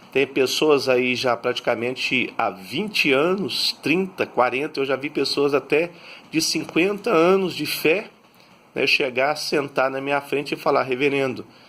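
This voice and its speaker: A man is speaking. His tone comes across bright and sharp. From Brazil, Minas Gerais interior (Patos de Minas). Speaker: pastor. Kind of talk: sermon-style talk on faith. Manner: many filler words, conversational.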